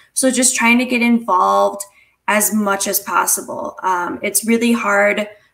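At a fairly slow pace, a woman with an American accent speaks at a fairly high pitch with fairly even intonation against a quiet background. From Minnesota. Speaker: college student, peer mentor; panelist. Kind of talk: informational panel talk. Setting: virtual livestream, video call. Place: home room. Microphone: earbuds.

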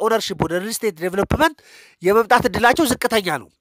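A man speaks at an extremely high pitch with ordinary pitch variation. The sound is dry and close, with no echo. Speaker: economist and YouTuber. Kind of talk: educational monologue.

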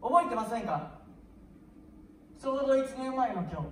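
Light background noise and audible room echo accompany a woman's speech. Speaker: comedian performing a sketch. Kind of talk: comic sketch monologue. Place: stage.

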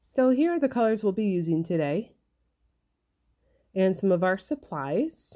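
A woman's dark, mellow tone at a fairly slow pace over a quiet background. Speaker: felting crafter and kit seller. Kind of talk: craft tutorial narration.

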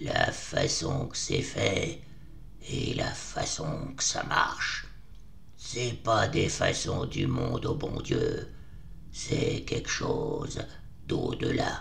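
A man speaking at a very slow pace over clear background noise. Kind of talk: rustic dialect. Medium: audio drama. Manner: hushed, urgent, fearful.

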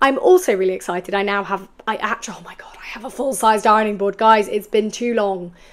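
A woman with a fairly high pitch and ordinary pitch variation speaks at a very fast pace in an enthusiastic, animated tone. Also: big swings in loudness. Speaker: sewing YouTuber and podcaster. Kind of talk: casual vlog.

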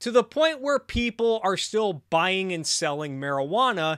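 Against a quiet background, a man speaks at a fairly slow pace with very wide pitch swings. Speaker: streamer commentator. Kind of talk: political commentary.

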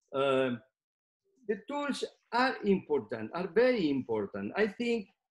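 A man's voice with a Spanish accent and very wide pitch swings, over a quiet background. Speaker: neurosurgeon; presenter. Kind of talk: lecture. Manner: halting. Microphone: webcam.

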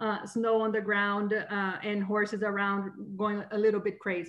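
A woman speaks at a moderate pace with a fairly high pitch. The background is quiet. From Brazil. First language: Portuguese. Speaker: extension horse specialist; presenter. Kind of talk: lecture. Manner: hesitant, many fillers. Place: home room. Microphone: webcam.

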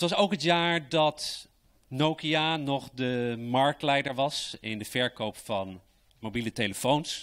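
Against a quiet background, a man talks very slowly. His pitch is fairly high, with ordinary variation. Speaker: state secretary for education; presenter. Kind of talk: formal speech. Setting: stage with audience. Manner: enthusiastic. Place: hall. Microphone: handheld.

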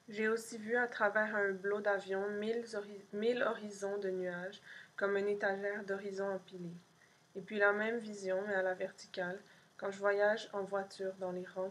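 A woman speaks in a deadpan tone at medium pitch. Her intonation is monotone and flat. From Montreal, Quebec. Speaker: poet and artist reading own zine. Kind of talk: poem reading, multilingual French, English and Spanish. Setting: pre-recorded video for an event. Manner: slow, dreamy, contemplative; measured pauses, deadpan lists. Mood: calm, soft, intimate. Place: home room. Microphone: webcam.

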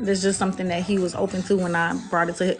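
Faint music plays in the background as the speaker talks at a very fast pace. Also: woman. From US South. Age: 30s. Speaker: dating show participant, mother, financial services businesswoman. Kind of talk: casual chat. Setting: video call on a livestream. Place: home room. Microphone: phone near.

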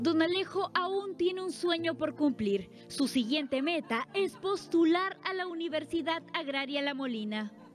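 Over music in the background, a woman with a high pitch speaks at a fairly slow pace with lively intonation and hardly any pauses. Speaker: news reporter. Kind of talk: TV news report narration.

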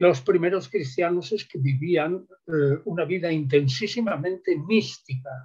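A man's high-pitched voice with lively intonation at a fairly slow pace, over a quiet background. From southern Spain. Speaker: biblical scholar; guest. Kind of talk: interview. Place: home room. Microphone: video call.

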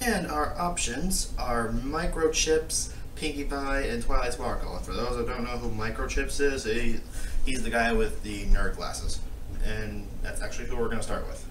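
Noticeable background noise and a man speaking at a moderate pace. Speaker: reaction vlogger. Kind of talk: casual vlog chat. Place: home room. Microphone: phone near.

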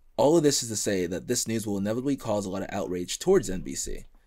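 Against a quiet background, a man talks at a very fast pace in a fairly low pitch. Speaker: podcast host. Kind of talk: casual chat. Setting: studio. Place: home room. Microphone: studio mic.

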